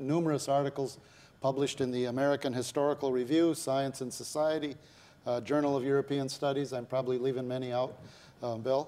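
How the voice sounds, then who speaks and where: A man with a dark, mellow tone speaks at a very fast pace in a monotone, flat intonation. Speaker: TV interview host. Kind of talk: interview introduction. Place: studio. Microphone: lapel.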